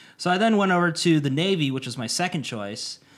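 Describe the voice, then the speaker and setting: A man with an American accent and a plain, everyday voice talks at a fairly quick pace with ordinary pitch variation on a very clean recording with a silent background. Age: 30s. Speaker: YouTuber and student, Navy veteran. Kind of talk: casual chat.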